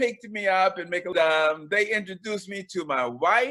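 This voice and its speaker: A man's raised, projected voice, high in pitch and bright and sharp in tone, with an American accent. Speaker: pastor. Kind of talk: interview testimony. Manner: halting.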